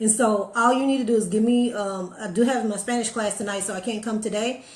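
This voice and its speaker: There is audible room echo along with noticeable background noise. Through it, a woman speaks at a fairly high pitch. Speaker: motivational live streamer. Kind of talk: casual live stream chat. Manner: fast.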